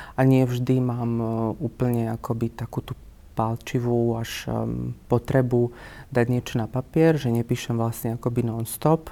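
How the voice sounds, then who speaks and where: The voice has a dark, mellow tone and monotone, flat intonation. It moves at a moderate pace. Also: man. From central Slovakia, near Banská Bystrica. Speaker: writer and screenwriter. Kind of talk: interview. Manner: hesitant, with many fillers.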